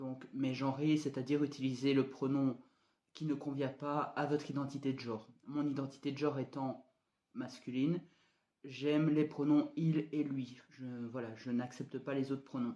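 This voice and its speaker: At a moderate pace, a man with a fairly high pitch speaks in a flat monotone with a dark, mellow tone. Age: 20s. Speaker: vlogger. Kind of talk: personal video diary. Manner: hesitant, many fillers.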